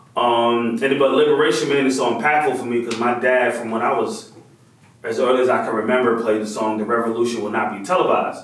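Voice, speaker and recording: At a fairly quick pace, a man with medium pitch speaks in an animated tone, with audible room echo and noticeable background noise. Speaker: visual artist and toy maker. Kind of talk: interview. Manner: loud.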